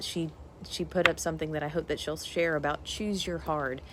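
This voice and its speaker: A woman with a very deep, low pitch at a fairly quick pace. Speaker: nutrition coach. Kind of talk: live stream talk. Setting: outdoors in parents' backyard. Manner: fast; animated.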